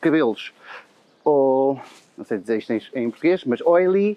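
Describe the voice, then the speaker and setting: Lively in intonation, this man's voice sits at a fairly high pitch. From Portugal. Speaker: head of marketing. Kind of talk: casual interview chat. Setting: outdoors, walking in Madrid. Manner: hesitant, many fillers.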